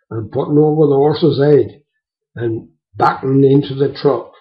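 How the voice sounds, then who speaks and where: Speaking with a Devon accent, a man has a fairly high pitch and a somewhat breathy voice. His pace is moderate. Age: 70s. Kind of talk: storytelling, reminiscence.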